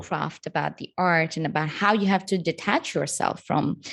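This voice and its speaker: A woman speaks with vocal fry at a fairly low pitch. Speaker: podcast host. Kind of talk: podcast interview host.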